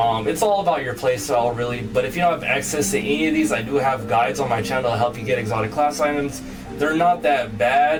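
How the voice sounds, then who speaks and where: Music plays in the background, and the room has an audible echo. A man speaks very fast at a medium pitch, with lively intonation. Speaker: gaming youtuber. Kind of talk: tutorial. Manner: casual, halting in places.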